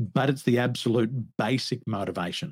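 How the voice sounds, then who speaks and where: A man speaks at a medium pitch with an Australian accent. The recording is very clean, with a silent background. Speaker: business coach. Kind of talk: interview.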